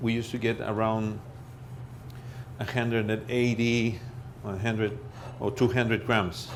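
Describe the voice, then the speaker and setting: With a Spanish accent, a man speaks at medium pitch and a moderate pace, his intonation fairly even. Audible room echo is present. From Peru. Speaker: chef. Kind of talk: cooking demonstration. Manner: halting.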